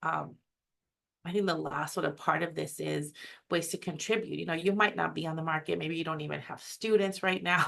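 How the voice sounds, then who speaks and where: With an American accent, a woman talks at a fairly quick pace and a fairly low pitch, with vocal fry. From US West Coast, San Francisco Bay Area. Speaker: academic webinar presenter. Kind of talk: webinar presentation. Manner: fast.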